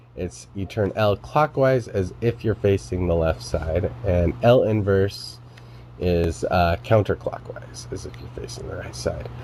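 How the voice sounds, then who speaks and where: With very wide pitch swings, a man speaks fairly slowly in a very deep, low voice against noticeable background noise. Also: big swings in loudness. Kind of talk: tutorial explanation to camera. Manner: casual, many filler words.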